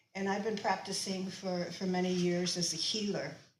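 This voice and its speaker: A woman's voice, medium in pitch, carries audible room echo. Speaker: shaman and healer giving a talk. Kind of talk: lecture. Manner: halting.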